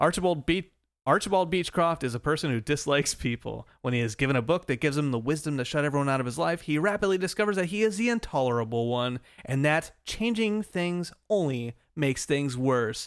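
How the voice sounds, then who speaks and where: The recording is very clean, with a silent background. A man with a normal speaking voice talks at a fairly high pitch with lively intonation. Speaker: podcast host. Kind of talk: casual banter interview.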